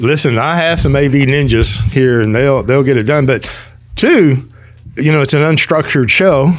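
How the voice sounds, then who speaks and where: A man with a normal speaking voice talks at a moderate pace, his pitch fairly high. His pitch variation is ordinary and his loudness very even. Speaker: podcast host. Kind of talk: casual chat.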